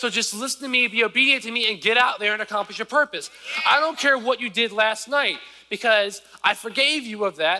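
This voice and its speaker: A man speaks in a raised, projected voice, high-pitched for a man and at a fairly quick pace. His pitch varies in an ordinary way, and there is noticeable background noise. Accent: American. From US South, rural southern Virginia. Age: 20s. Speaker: preacher. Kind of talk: sermon. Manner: casual, conversational.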